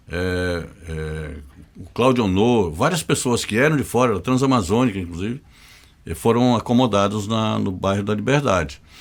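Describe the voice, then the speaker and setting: This man has a fairly low pitch and lively intonation. He keeps a moderate pace. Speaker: journalist. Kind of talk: casual interview.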